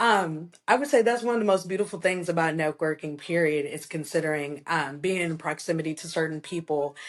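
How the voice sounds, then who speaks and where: This is a normal speaking voice at a fairly quick pace. It runs on with hardly any pauses. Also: woman, fairly low pitch for a woman, ordinary pitch variation, quiet background. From US Midwest, southern Illinois (Alton). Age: 20s. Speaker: home health care worker and student. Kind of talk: podcast interview.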